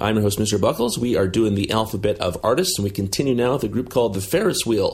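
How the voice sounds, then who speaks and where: A somewhat breathy, fairly low male voice with ordinary pitch variation. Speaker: radio host. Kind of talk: radio DJ patter. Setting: remote recording, not in studio. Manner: relaxed, friendly.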